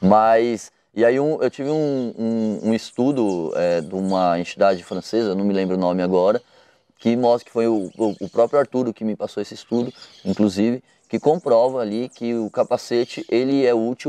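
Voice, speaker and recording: Dry with no echo, a man's dark, mellow tone comes at a moderate pace with ordinary pitch variation. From Brazil, São Paulo. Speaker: cycling advocacy coordinator. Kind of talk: interview. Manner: halting, many fillers and repetitions. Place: garden. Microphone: lapel.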